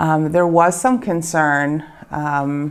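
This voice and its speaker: A woman with an American accent speaks in a very deep, low voice with monotone, flat intonation. The recording is very clean with a silent background. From Baltimore, Maryland, USA. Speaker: bakery owner. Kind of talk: interview answer.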